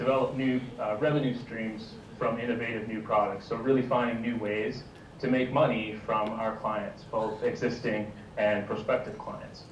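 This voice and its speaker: A man with a Canadian accent speaks at a fairly slow pace and medium pitch, his intonation fairly even. Audible room echo and noticeable background noise fill the recording. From Canada. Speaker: social media product innovation lead. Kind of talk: panel talk. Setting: video call.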